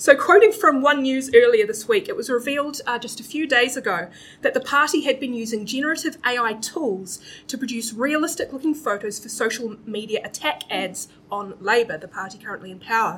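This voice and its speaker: A woman with a New Zealand accent, high-pitched and fairly quick, with lively intonation, big swings in loudness and noticeable background noise. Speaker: comedy panel show host. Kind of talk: live comedy panel show. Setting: stage with live audience, streamed.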